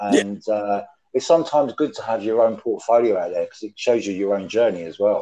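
This man speaks with a British accent. His pace is fairly quick. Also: big swings in loudness. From UK. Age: 50s. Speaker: former prisoner, true crime writer. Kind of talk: casual chat. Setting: video call.

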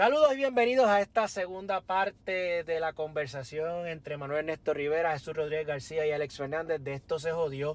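Hardly any pauses break up the fairly quick pace of the speech. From Puerto Rico, Yabucoa. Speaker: podcast host. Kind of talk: casual chat.

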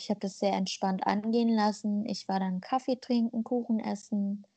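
A woman speaks at medium pitch and a moderate pace. Her tone is dark and mellow, and somewhat breathy. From Germany, with migration background. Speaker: podcast co-host. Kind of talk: casual chat.

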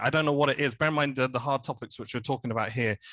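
A man in a southern English accent, fairly even intonation, quiet background. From southern England, Hertfordshire. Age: 30s. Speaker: podcast guest, music podcaster. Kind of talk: casual chat.

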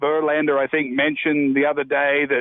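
Pitched fairly high, a man speaks at a moderate tempo. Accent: Australian. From Australia. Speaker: golfer. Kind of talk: phone call-in chat.

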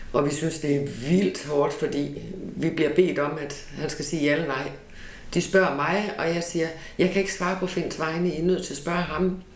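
A woman speaks with a very deep, low pitch. Noticeable background noise and audible room echo fill the recording. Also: ordinary pitch variation, moderate pace. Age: 50s. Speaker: relative of a brain-injured person. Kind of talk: interview testimony. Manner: hesitant, many fillers.

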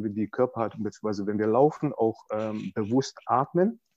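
Over a quiet background, a man with a dark, mellow tone talks at a moderate pace with ordinary pitch variation and a dry, close sound with no echo. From Balkans. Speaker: personal development coach. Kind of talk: interview. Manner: halting, many fillers.

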